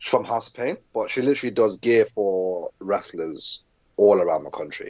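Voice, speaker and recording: A man with a British accent speaks at medium pitch. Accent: British, adopted as a child. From southern Africa, moved to England as a child. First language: Zulu. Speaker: professional wrestler. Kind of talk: podcast interview. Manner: hesitant, frequent repetitions.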